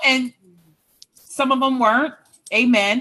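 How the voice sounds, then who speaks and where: Loud and high-pitched, a woman speaks at a fairly slow pace with a bright, sharp tone. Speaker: author and relationship coach. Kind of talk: casual chat.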